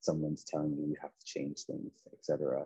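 A man with a Nova Scotian accent at a moderate pace, in a dry, close sound with no echo. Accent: Canadian (Nova Scotian). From Nova Scotia, Canada (Preston). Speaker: children's author and basketball coach. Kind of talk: casual interview.

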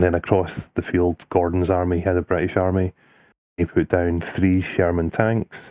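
Over a quiet background, a dark, mellow tone comes through at a moderate pace, the sound dry and close with no echo. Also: man. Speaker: podcast host. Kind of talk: casual banter.

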